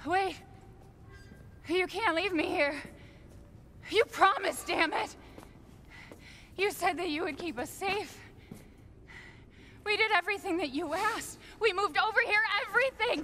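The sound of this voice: A woman adopts a put-on character voice pitched extremely high, with a bright, sharp tone. Her pitch varies in an ordinary way, and long, frequent pauses break up her speech. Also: fairly slow pace.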